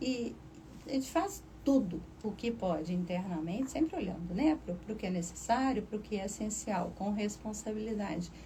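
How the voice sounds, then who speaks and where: Audible room echo surrounds a woman of medium pitch who talks at a moderate pace with lively intonation. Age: 60s. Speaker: university professor and administrator. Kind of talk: radio interview.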